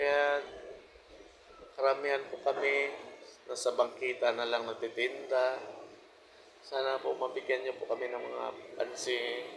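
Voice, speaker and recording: A man talks fairly slowly, with long, frequent pauses. Noticeable background noise runs under his speech. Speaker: vlogger. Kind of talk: personal monologue. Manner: informal, repetitive, halting.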